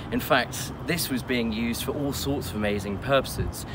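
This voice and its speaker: Noticeable noise sits in the background while a man talks. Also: dry sound with no echo. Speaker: presenter. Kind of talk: history presentation to camera. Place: open country.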